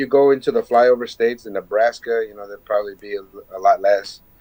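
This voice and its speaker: A man at a very fast pace, with big swings in loudness. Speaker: podcast guest, musician. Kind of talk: casual chat.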